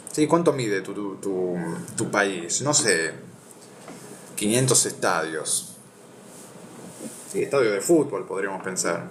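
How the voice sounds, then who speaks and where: A man speaks very slowly at medium pitch, with very wide pitch swings and long, frequent pauses. Noticeable background noise and audible room echo are present. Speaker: philosophy video host. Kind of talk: reading aloud with commentary. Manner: stuttering, repeats words.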